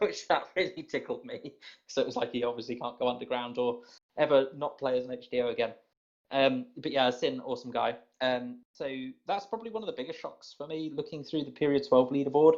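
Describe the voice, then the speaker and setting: A man speaks fairly quickly with a British accent. His pitch is fairly high, with ordinary variation. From Britain. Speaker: podcast host for a gaming community. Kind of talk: casual group chat on a call. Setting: group voice call.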